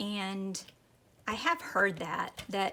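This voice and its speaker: Speaking at a very slow pace, a woman talks in an American accent. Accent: Texan, toned down. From Texas. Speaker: craft youtuber. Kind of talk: casual chat while crafting. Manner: rambling, hesitant with fillers.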